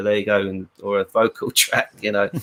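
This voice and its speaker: A man speaks with a British accent. He moves at a fairly quick pace. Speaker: rock guitarist. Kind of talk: casual interview. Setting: live stream.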